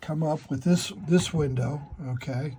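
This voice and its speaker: A man with a fairly high pitch and a dark, mellow, somewhat breathy tone speaks at a fairly slow pace with ordinary pitch variation. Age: 60s. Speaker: model railroad hobbyist YouTuber. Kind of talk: tutorial. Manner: casual, halting.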